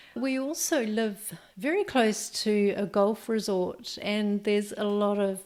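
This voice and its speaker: A woman with a New Zealand accent, medium pitch and ordinary pitch variation. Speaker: podcast host, entrepreneur coach. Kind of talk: podcast monologue. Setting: home office. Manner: halting, with ums and ahs.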